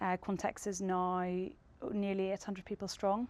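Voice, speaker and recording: On a very clean recording with a silent background, a woman with a Northern Irish accent speaks at medium pitch and a moderate pace, monotone and flat, the sound dry and close with no echo. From Northern Ireland. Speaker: tech company co-founder. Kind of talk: panel discussion.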